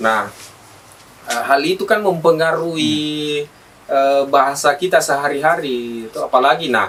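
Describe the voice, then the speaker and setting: A man with a South Sulawesi accent speaks at a fairly slow pace in a fairly high pitch. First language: Bugis (speaking Indonesian). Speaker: event host and community organizer. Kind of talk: podcast interview. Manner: halting, many fillers.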